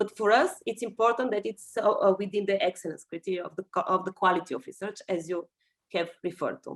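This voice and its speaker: At a very fast pace, a woman speaks at medium pitch with ordinary pitch variation in a dry, close sound with no echo. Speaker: EU policy official. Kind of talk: webinar Q&A answer. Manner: halting, many fillers.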